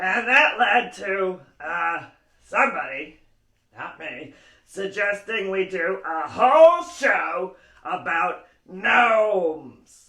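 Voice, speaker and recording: Using a cartoonish character voice, a man speaks very slowly at a high pitch. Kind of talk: puppet show hosting for kids. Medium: puppet.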